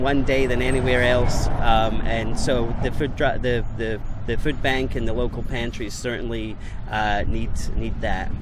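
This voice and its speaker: Over noticeable background noise and audible room echo, a man with a Scottish accent speaks at a moderate pace. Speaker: mail carrier. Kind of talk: radio interview. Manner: halting, many fillers and repeats.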